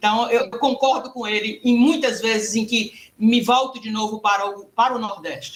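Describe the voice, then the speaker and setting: In a normal speaking voice, a woman talks at a fairly high pitch with fairly even intonation and hardly any pauses. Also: moderate pace. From Brazil, Ceará (Fortaleza). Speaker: academic participant. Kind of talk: online panel discussion.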